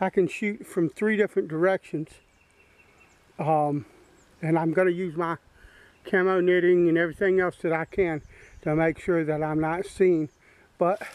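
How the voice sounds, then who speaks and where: Speech at a moderate pace, with long and frequent pauses, is heard in a dry sound that has no echo. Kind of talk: casual vlog chat. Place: forest. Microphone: phone near.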